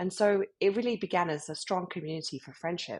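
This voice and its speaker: With a British accent, a woman speaks at a fairly quick pace, her pitch swinging very widely. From UK. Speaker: club founder. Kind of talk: interview.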